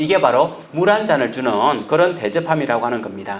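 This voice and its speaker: A loud man speaks at a moderate pace with very wide pitch swings, his voice carrying audible room echo. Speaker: pastor. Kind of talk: sermon. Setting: church.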